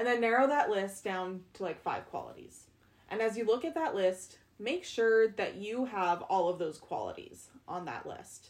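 A woman's fairly high voice at a moderate pace, her pitch swinging very widely. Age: 20s. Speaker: podcast host. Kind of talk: casual chat.

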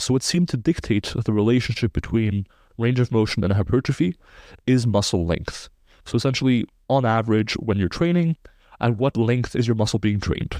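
The voice has a dark, mellow tone at a fairly quick pace, with ordinary pitch variation and very even loudness in a dry, close sound with no echo against a quiet background. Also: man, medium pitch for a man. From Belgium. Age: 20s. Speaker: muscle growth researcher and coach. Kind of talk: interview.

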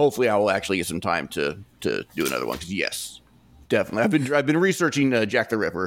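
Talking at a very fast pace, a man with a fairly low voice and vocal fry makes very wide pitch swings. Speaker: author and podcaster. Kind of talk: casual storytelling interview.

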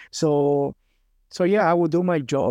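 A man with a Spanish accent speaks in a dark, mellow tone. The sound is dry and close with no echo, over a quiet background. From Cuba. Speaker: former pro cyclist. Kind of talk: casual interview chat.

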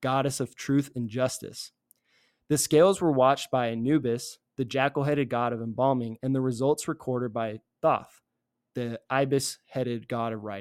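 A man with an American accent has a normal speaking voice, medium in pitch, with fairly even intonation. He speaks at a moderate pace on a very clean recording with a silent background. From Virginia, near Richmond. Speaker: podcast host. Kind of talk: casual religious discussion. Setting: apartment.

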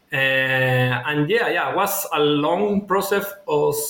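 This man talks very slowly in a high voice with a Spanish accent and lively intonation. Noticeable background noise runs behind him. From Chile. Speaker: former finance executive, MBA student. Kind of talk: interview. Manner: halting.

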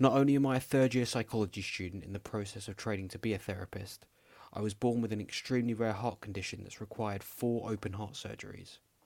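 Very fast speech comes from a man with a London accent and a fairly low pitch. His intonation stays fairly even, and the recording is very clean with a silent background. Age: 20s. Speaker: podcast host, psychology student. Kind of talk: scripted podcast trailer. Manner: calm, not shouty.

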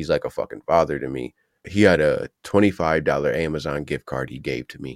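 In a very clean recording with a silent background, a man with an American accent speaks in a very deep, low pitch with vocal fry, at a moderate pace with ordinary pitch variation and big swings in loudness, the sound dry and close with no echo. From Ohio, US. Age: 30s. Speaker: content creator. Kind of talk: casual interview chat.

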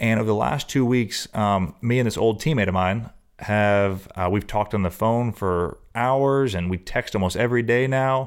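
Against a silent background in a very clean recording, a man with a fairly low voice speaks with ordinary pitch variation, very even loudness and hardly any pauses. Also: moderate pace. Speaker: podcast host. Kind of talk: casual interview. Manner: warm, enthusiastic.

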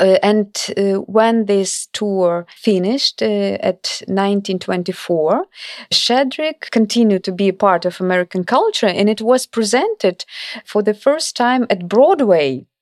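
In a Ukrainian accent, a woman speaks at a moderate pace and medium pitch with ordinary pitch variation, in a dry, close sound with no echo. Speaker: cultural diplomacy scholar and author. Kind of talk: interview. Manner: halting.

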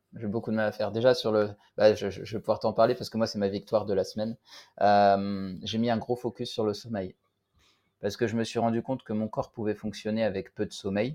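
Over a quiet background, a man talks at a fairly quick pace in a fairly low voice with a dark, mellow tone and monotone, flat intonation. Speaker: podcast host. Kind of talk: casual chat.

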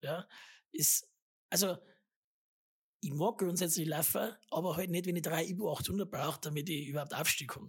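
A woman speaks at a moderate pace in a fairly low, somewhat breathy voice with ordinary pitch variation. She leaves long, frequent pauses. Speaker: podcast host. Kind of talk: casual chat.

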